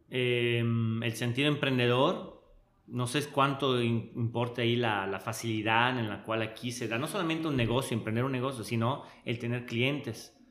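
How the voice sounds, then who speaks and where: In a Monterrey accent, a man of medium pitch speaks with fairly even intonation amid audible room echo. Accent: sounds very local to Monterrey. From Switzerland. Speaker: social media influencer. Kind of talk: casual interview.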